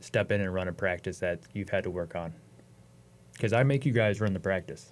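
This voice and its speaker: A man with a normal speaking voice, a fairly low pitch, ordinary pitch variation and an American accent, on a very clean recording with a silent background. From Ohio, US Midwest. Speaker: wrestling coach. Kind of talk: podcast interview.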